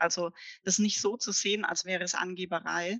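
The sound is dry and close, free of echo. A woman's tone comes across bright and sharp. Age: 40s. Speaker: career coach. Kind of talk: interview.

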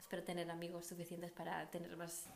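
A woman talks at a moderate speed while noticeable background noise carries on behind her. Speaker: podcast host. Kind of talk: casual chat. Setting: at home.

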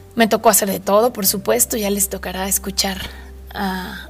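A woman talks at a moderate pace with a Mexican accent. Noticeable background noise is present. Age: 30s. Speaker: podcast host. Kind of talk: casual monologue. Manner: animated.

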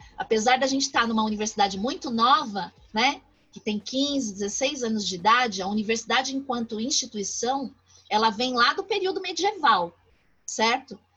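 Her voice is high in pitch, and the woman speaks at a moderate pace with lively intonation. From São Paulo, Brazil (east periphery, São Mateus). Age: 40s. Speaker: professor. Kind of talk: interview.

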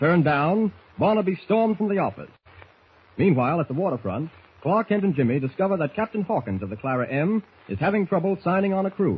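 The man rushes along at a very fast pace, his high-pitched voice full of lively intonation. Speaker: old-time radio announcer. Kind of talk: old-time radio drama narration, announcer.

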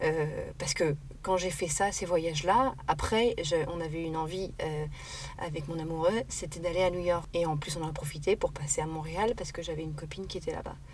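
Amid noticeable background noise, a woman speaks at a moderate pace with a fairly low pitch and ordinary pitch variation. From Paris. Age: 30s. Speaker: sustainability activist. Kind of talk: casual interview. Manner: hesitant, many fillers.

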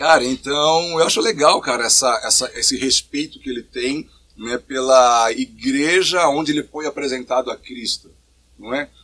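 Bright, sharp tone with ordinary pitch variation. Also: man, fairly high pitch for a man, moderate pace. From São Paulo state, Brazil (São Bernardo do Campo). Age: 40s. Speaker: pastor. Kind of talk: casual interview.

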